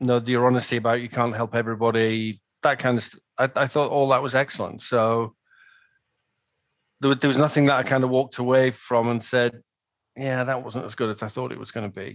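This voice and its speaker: Against a quiet background, a man with an English accent talks fairly quickly at a medium pitch. His intonation is monotone and flat, though his loudness swings widely. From northern England, Manchester. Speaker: customer giving a testimonial. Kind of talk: testimonial interview. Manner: hesitant, many ums and repeated words.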